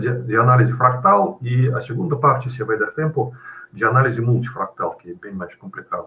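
A medium-pitched man at a fairly quick pace, bright and sharp in tone, with big swings in loudness. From Russia. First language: Russian (speaking Portuguese). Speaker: physics professor, guest lecturer. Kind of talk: lecture. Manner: halting, with hesitations. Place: home room. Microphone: webcam.

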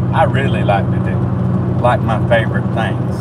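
Moderate-paced speech from a man beneath loud background noise. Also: dry sound with no echo. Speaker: vlogger. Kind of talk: casual vlog chat. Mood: cheerful, joking. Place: car. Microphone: phone near.

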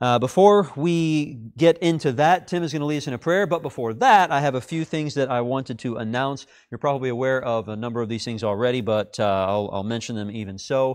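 A man talks at a fairly quick pace with hardly any pauses over a quiet background. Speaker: class teacher. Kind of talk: announcements before a Bible class lesson. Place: classroom.

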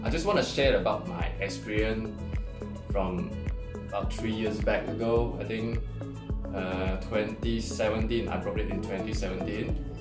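Clear music is heard in the background. The talking proceeds at a moderate speed. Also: man. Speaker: camera hobbyist reviewer. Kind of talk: casual talk to camera. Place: home room.

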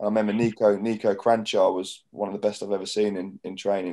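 A man with a southern English accent at a very fast pace, fairly low pitch, dark, mellow tone, monotone, flat intonation, quiet background. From southern England, Portsmouth area; southern England. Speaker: professional footballer and club captain; guest. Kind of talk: casual interview chat. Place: home room. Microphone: video call.

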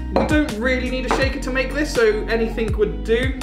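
A man talks while clear music plays behind him. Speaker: home cocktail host. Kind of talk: tutorial. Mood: upbeat and cheerful. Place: home room.

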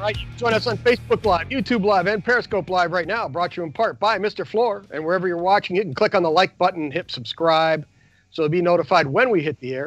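A man speaking very fast, with a dry sound, no echo and faint music in the background. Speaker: show host. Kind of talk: radio-style show talk. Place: studio. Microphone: lapel.

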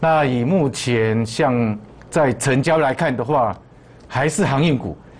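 A man talks fairly slowly with lively intonation. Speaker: stock market analyst. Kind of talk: market commentary. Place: studio. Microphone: lapel.

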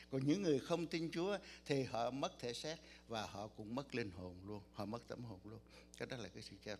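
A man talks at a moderate pace with vocal fry, very wide pitch swings and big swings in loudness. There is light background noise. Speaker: pastor. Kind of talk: sermon. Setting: church. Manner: soft-spoken. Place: church.

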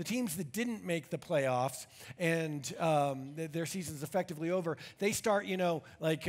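With ordinary pitch variation and a moderate pace, a man speaks while the background stays quiet. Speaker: pastor. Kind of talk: sermon. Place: church.

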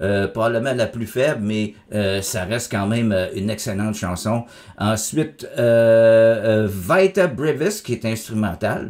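A man with a Quebec accent speaks at a fairly slow pace against a quiet background. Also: ordinary pitch variation. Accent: Québécois French. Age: 50s. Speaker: music critic YouTuber. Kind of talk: album review monologue. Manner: casual, hesitant with many fillers. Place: home room.

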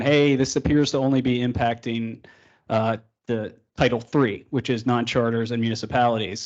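A man talks at a moderate pace in a medium pitch. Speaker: state planning presenter. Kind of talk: workshop presentation.

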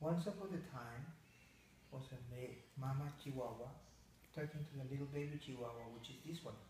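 A somewhat breathy man speaks at a moderate pace with long, frequent pauses, against light background noise and audible room echo. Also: ordinary pitch variation. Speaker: pet owner. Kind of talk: bedtime story telling. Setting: talking to a pet dog. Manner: playful, voicing a mama dog character. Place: home room. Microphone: phone near.

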